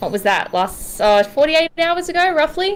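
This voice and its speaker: A woman with an Australian accent, fairly quick and lively in intonation, over music in the background. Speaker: documentary director and AMA co-host. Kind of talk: live online AMA hosting.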